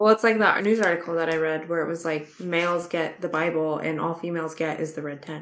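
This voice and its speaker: With a fairly low voice, a woman races along at a very fast pace. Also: fairly even intonation, hardly any pauses. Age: 20s. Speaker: book podcast co-host. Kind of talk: casual chat.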